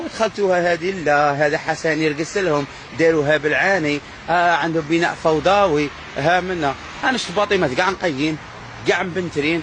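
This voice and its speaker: Noticeable background noise sits under a man speaking at a high pitch. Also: moderate pace. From Algeria. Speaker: vlogger. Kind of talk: casual vlog monologue. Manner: animated.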